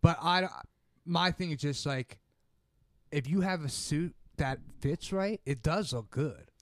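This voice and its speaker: Ordinary pitch variation with long, frequent pauses. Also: man, fairly slow pace. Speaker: podcast co-host. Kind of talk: casual chat.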